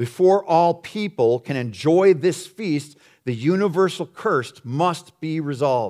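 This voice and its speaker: Over a silent background on a very clean recording, a man with a fairly high pitch uses a normal speaking voice, lively intonation and a fairly slow pace. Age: 50s. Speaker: pastor. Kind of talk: sermon.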